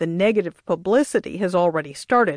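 A woman with a normal speaking voice and medium pitch talks at a moderate pace with ordinary pitch variation, the sound dry and close with no echo against a quiet background. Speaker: radio reporter. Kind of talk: radio news reporting, a polished scripted business report. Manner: measured, crisp and even-paced, formal broadcast delivery.

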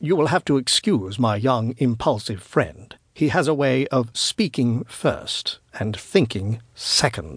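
A man's put-on character voice with a slightly husky edge, big pitch swings, a slow pace and few pauses. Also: medium pitch for a man.

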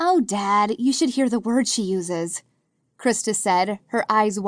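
Someone reads aloud plainly, with ordinary pitch variation and a quiet background.

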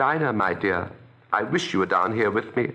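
A man talks at a moderate pace with a bright, sharp, animated tone. His intonation is lively. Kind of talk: audiobook narration, dramatized reading of a children's classic. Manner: animated, dreamy, wondering, shifting between narrator and girlish character voice.

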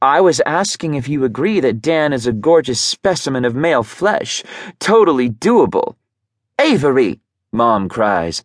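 Speaking at a fairly slow pace, a man with a fairly high voice makes very wide pitch swings, with a dry, close sound and no echo. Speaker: audiobook narrator. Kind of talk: dramatic first-person audiobook narration. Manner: intimate, brooding, emotionally charged; shifts into flustered, defensive tone, with lively voiced dialogue.

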